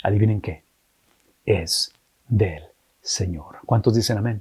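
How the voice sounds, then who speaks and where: At a fairly slow pace, a man with a medium-pitched, somewhat breathy voice talks with ordinary pitch variation. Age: 50s. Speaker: pastor. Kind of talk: sermon.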